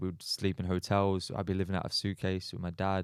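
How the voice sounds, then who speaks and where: A man with an English accent speaks in a very deep, low pitch. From Australia. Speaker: footballer. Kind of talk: podcast interview. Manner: casual, hesitant with fillers.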